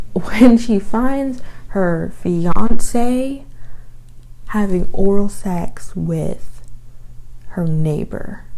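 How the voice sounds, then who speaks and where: Soft-spoken and dark, mellow in tone, a woman with an American accent and medium pitch speaks at a very slow pace with lively intonation and long, frequent pauses, with audible room echo around her. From Texas, Houston. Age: 20s. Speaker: book reviewer. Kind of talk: casual chat. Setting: home.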